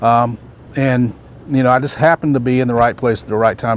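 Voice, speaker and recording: Talking very fast, a man speaks with a Southern US accent. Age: 60s. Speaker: baseball umpire and instructor. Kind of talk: motivational talk at a training camp.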